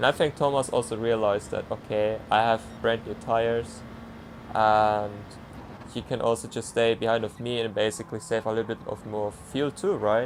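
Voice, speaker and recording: A man with a non-native accent, medium pitch, fairly even intonation and a moderate pace. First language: not English. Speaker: sim racing driver. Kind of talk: commentary over own race footage. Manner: halting, many fillers; casual.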